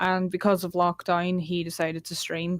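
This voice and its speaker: A woman with a Northern Irish accent speaks at a fairly low pitch. Her intonation is monotone and flat, and her pace is fairly slow. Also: dry, close sound with no echo, very clean recording, silent background. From Northern Ireland, Derry. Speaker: casual gamer. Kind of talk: casual chat.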